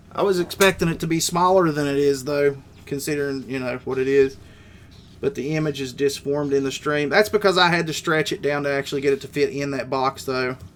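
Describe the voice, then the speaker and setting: A man talks at a fairly quick pace with an Appalachian accent. His pitch variation is ordinary. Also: fairly high pitch for a man. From West Virginia. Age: 30s. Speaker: gaming streamer. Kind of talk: live stream chat. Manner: casual.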